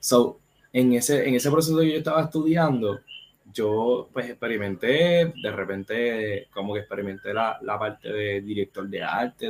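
A man talks at a moderate pace in a medium pitch. His pitch variation is ordinary. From Puerto Rico, Caguas. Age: 30s. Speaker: film critic and producer. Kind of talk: casual interview chat.

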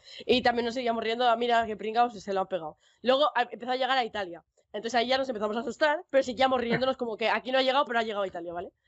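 A woman talks at a very fast pace in a Castilian accent. Her pitch varies in an ordinary way. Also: fairly high pitch for a woman. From Spain. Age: young. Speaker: Twitch streamer and pharmacy student. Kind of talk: casual chat.

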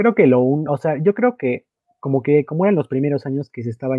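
A man is speaking. His pace is fairly quick. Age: 20s. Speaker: wrestling video game podcast co-host. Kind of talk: casual chat.

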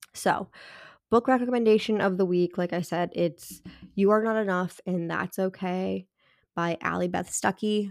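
A normal speaking voice moves at a moderate pace with fairly even intonation, recorded very cleanly against a silent background in a dry, close sound with no echo. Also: woman. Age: 30s. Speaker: podcast host, mother. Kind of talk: solo podcast monologue. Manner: casual, conversational with fillers.

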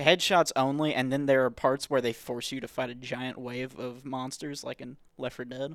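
Recorded very cleanly against a silent background, a man at medium pitch speaks at a moderate pace with hardly any pauses, flat, monotone intonation, and big swings in loudness. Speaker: podcast host. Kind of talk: casual chat.

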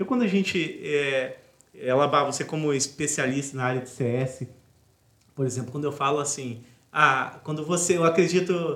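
Speaking at a moderate pace, a man has an unremarkable speaking voice. His pitch is fairly high, with ordinary pitch variation. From Brazil, Resende (Rio de Janeiro state). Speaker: podcast host, entrepreneur. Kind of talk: interview conversation.

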